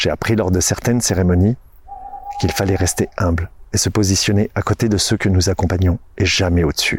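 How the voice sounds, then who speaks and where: A man talks at a fairly quick pace in a very deep, low pitch. His loudness is very even, with noticeable background noise. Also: fairly even intonation. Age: 40s. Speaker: podcast host and nature guide. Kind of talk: scripted narration.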